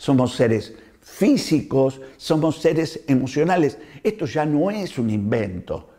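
Against a quiet background, a dark, mellow voice moves at a very slow pace with lively intonation. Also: man, fairly high pitch for a man. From Argentina. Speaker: doctor. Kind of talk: health talk to camera. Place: home room. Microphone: lapel.

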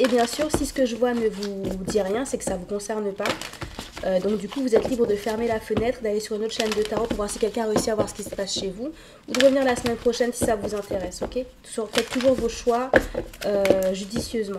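Over faint background noise, a woman at medium pitch talks with fairly even intonation and a slightly mellow tone. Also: fairly quick pace.

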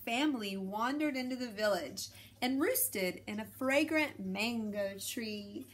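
The voice is a natural reading voice. It stays that way throughout.

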